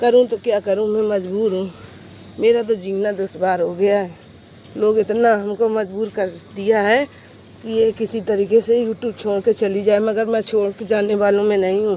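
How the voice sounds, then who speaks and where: At a moderate pace, a woman talks in a medium pitch. Her delivery stays monotone and flat. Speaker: vlogger. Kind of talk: vlog monologue. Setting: outdoors in sunlight.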